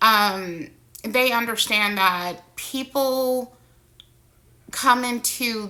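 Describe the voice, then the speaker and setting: A woman talks in a fairly high voice. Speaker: vlogger sharing personal experience. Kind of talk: personal monologue vlog. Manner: slow, halting.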